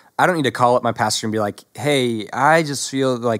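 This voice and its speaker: A man with an American accent talks at a fairly quick pace on a very clean recording with a silent background. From US South. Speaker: young adults pastor. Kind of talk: casual chat.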